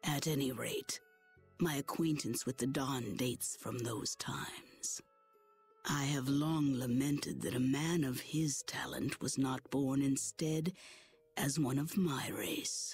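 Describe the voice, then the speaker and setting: Over faint music in the background, a put-on character voice speaks at a fairly slow pace and a low-to-middle pitch. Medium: video game. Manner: formal, stately.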